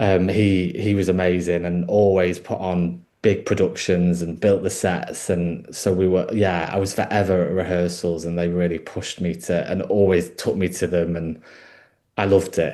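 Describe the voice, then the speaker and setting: A man speaks with a northern English accent at a moderate pace, his pitch very deep and low. His tone is dark and mellow, and his intonation stays fairly even. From northern England, Peak District. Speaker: actor and wardrobe worker. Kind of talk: interview. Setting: podcast. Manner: hesitant, many fillers.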